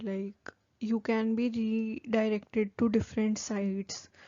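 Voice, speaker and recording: A woman with an Indian accent, fairly high in pitch, at a very slow pace. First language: Hindi. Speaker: new-hire trainee vlogger. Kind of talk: casual vlog talk to camera. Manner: casual, filler-heavy.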